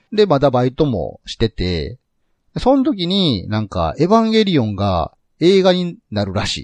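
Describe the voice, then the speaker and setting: A man speaks at a medium pitch and moderate pace, his voice making very wide pitch swings. The sound is dry and close with no echo, over a quiet background. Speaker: podcast host. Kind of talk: casual chat.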